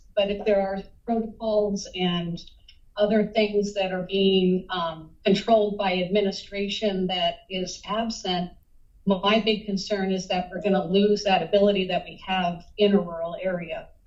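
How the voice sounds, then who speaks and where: In a flat, monotone intonation, a woman speaks at a medium pitch. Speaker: pediatrician. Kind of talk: public comment at a board meeting. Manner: loud.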